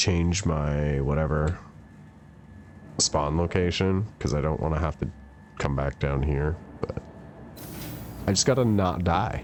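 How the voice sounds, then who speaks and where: A man's very deep, low voice at a fairly slow pace, with ordinary pitch variation, long, frequent pauses and noticeable background noise. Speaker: video game streamer. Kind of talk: casual chat. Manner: animated.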